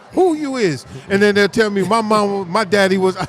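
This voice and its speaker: A man speaks at a fairly quick pace with an American accent. His pitch is high, and there is noticeable background noise. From New York and New Jersey. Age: 60s. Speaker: minister and community activist. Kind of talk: casual interview at live event. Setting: live community event.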